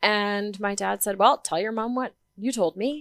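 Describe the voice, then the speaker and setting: Speaking with a Canadian accent, a woman uses a medium pitch and an animated tone at a moderate pace. The sound is dry and close with no echo, a very clean recording over a silent background. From Canada, northern British Columbia. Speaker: life coach, abuse survivor. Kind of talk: personal testimony in interview.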